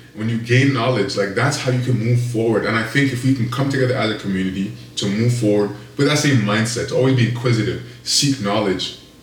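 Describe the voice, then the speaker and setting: Noticeable background noise accompanies a man of medium pitch who speaks at a very fast pace with fairly even intonation. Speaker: podcast host. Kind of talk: casual chat. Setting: studio. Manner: hesitant, filler-heavy.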